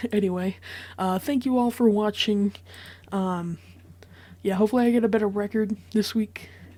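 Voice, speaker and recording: A woman's quiet, somewhat breathy voice with a dark, mellow tone, fairly even intonation, a moderate pace and long, frequent pauses. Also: medium pitch for a woman. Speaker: sports prediction youtuber. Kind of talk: solo commentary monologue. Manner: hesitant, many fillers.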